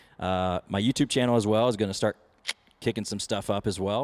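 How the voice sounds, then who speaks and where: A man with a Texan accent talks at a fairly quick pace in a medium pitch with ordinary pitch variation. The sound is dry and close, with no echo. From Texas, Weatherford area. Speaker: country singer. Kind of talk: casual interview chat. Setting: at the venue before his show.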